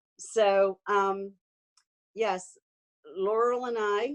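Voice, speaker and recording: Fairly even intonation from a woman at medium pitch. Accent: American. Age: 60s. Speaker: network marketing distributor. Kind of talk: testimony. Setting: video call. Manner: halting, many ums.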